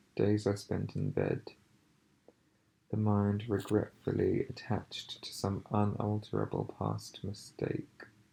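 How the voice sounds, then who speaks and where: This soft-spoken voice has a gentle tone and moves at a very slow pace. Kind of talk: ASMR ramble, soft-spoken, part reading from a book, part personal talk to camera. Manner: soft-spoken, quiet, slow, gentle.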